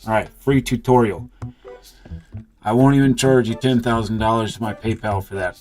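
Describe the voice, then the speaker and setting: A man talks at a moderate pace and medium pitch with fairly even intonation, leaving long, frequent pauses. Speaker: gaming streamer. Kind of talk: live gameplay stream commentary. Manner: monotone; loud.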